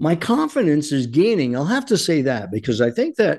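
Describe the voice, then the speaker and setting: A man with lively intonation talks in a quiet background. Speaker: radio host. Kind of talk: angry political rant. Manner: angry, fervent, loud; urgent, impassioned, preaching.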